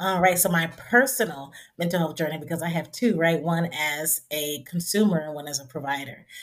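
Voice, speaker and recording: With an American accent, a woman in an ordinary speaking voice talks fairly quickly at a fairly low pitch, with ordinary pitch variation. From Trenton, New Jersey. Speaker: counselor and professor. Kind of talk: interview.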